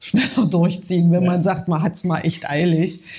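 Dark, mellow, fairly low female voice. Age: 40s. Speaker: coaching client. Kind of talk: interview testimony.

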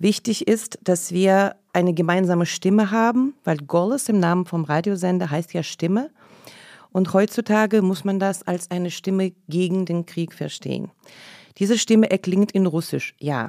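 In a very clean recording with a silent background, a woman talks at a moderate pace with a medium pitch. It is an ordinary speaking voice, with a dry, close sound and no echo. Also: ordinary pitch variation. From Leningrad, Soviet Union (Russia). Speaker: radio programme director. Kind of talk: casual interview discussion. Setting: studio.

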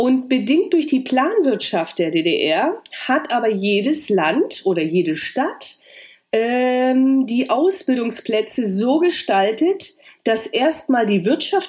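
Speaking at a very slow pace, a woman with a high pitch makes very wide pitch swings. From eastern Germany (Lusatia, Saxony), grew up in the GDR. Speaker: hairdresser and educator. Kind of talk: interview.

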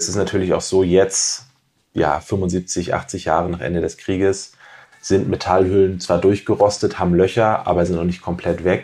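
A man with a very deep, low pitch and a dark, mellow tone talks at a moderate pace in a flat, monotone way. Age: 30s. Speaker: doctoral researcher in toxicology. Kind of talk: podcast interview.

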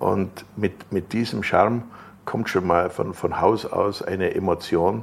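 A man speaks very slowly with a fairly low pitch. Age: 70s. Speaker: car builder and tuner. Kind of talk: interview. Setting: his company premises. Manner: energetic.

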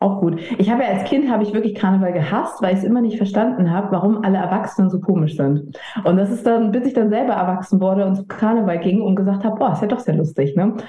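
Very fast, with hardly any pauses, a woman speaks at medium pitch with ordinary pitch variation and very even loudness over noticeable background noise. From mixed: Italy, Papua New Guinea, US, China, Germany. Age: 30s. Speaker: edtech founder and managing director. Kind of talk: casual interview.

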